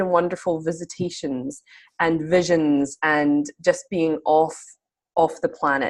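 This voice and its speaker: A woman's fairly low voice with a Scottish accent, a fairly slow pace and a quiet background. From Scotland. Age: 30s. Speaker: spiritual mentor. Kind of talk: interview.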